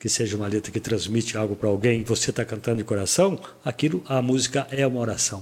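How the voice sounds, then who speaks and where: At a fairly quick pace, a man talks in a normal speaking voice. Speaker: radio broadcaster and podcast host. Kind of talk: casual interview chat.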